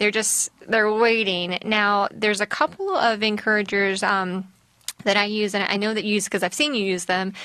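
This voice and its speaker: Here a woman speaks with a Southern US accent at a medium pitch and moderate pace. Her intonation is fairly even and her loudness very even. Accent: Southern twang. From US South. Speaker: mental health counselor. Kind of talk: casual chat.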